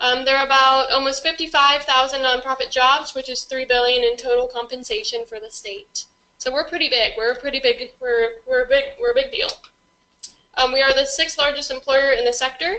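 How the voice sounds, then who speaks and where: Raised and projected, a woman's high-pitched voice moves at a fairly quick pace with fairly even intonation. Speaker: nonprofit staff member presenting. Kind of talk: presentation to an audience. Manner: fast.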